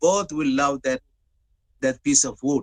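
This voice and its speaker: This man speaks at a moderate pace with an Arabic accent and a fairly high pitch. The sound is dry and close, with no echo. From Middle East (Gulf), born in Dubai. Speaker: webinar speaker. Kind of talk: speech.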